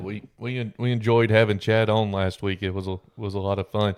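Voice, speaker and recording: Against a quiet background, a man speaks at a moderate pace. His pitch is fairly low, and his intonation fairly even. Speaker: podcast co-host, auctioneer. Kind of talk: casual podcast talk. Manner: hesitant, many fillers.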